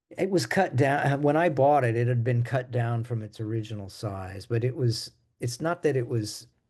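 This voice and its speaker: Against a quiet background, a man with an American accent speaks in a medium pitch, sounding somewhat breathy. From US Midwest. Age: 70s. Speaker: jazz bassist. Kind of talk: interview.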